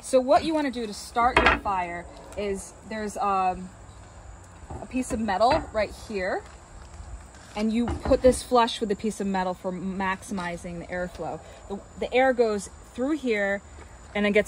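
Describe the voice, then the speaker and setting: Over light background noise, a woman talks at a fairly slow pace with long, frequent pauses, big swings in loudness and ordinary pitch variation, in a dry sound with no echo. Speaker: rental host. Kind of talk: tutorial. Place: garden. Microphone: phone near.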